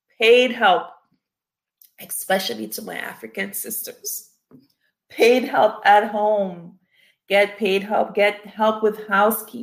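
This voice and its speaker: A woman's medium-pitched voice with vocal fry, monotone and flat, very slow, with long, frequent pauses and big swings in loudness. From Cameroon. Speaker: family physician. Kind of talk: panel discussion.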